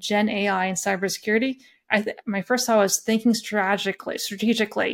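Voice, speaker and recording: With a western Canadian accent, a woman talks at a fairly quick pace and fairly high pitch with fairly even intonation, on a very clean recording with a silent background. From Canadian prairies, Alberta (Lethbridge area). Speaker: risk and governance expert, accountant. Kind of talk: interview, expert discussion.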